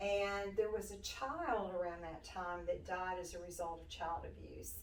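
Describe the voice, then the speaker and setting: A woman talks at a fairly slow pace, her loudness swinging widely. Noticeable background noise runs underneath. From US South, western Tennessee. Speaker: nonprofit director. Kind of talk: interview. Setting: studio.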